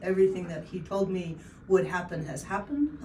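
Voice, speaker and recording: Noticeable background noise and audible room echo surround a woman whose pitch is fairly low. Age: 60s. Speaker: patient. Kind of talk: testimony. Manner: halting.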